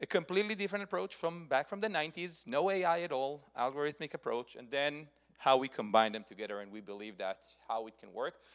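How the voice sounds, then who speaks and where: Talking at a very fast pace, a man makes big swings in loudness and very wide swings in pitch. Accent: Israeli. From Israel. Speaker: software security executive. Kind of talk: conference talk.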